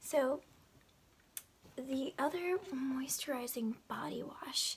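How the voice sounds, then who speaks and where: The woman speaks in a whisper. Her pace is very slow. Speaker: beauty haul vlogger. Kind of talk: ASMR product haul chat. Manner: whispered. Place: home room.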